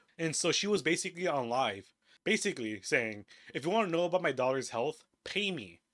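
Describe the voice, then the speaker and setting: In an animated, bright and sharp tone with vocal fry, a man speaks at a fairly quick pace, his fairly high pitch making very wide swings. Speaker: commentary YouTuber. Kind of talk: commentary video.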